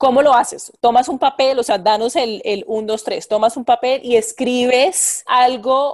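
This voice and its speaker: A woman's high-pitched voice at a moderate pace. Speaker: podcast host. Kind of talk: interview. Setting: remote call.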